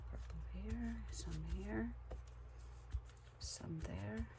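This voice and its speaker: Echo from the room is audible as a woman talks very slowly. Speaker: craft video creator. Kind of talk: crafting tutorial. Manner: casual, animated; louder after standing up.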